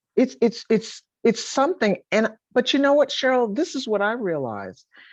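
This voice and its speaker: A woman speaks with an American accent at a fairly high pitch, using lively intonation and vocal fry. The background is quiet. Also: moderate pace. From Boston, US Northeast. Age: 60s. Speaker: author and gospel singer. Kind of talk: interview.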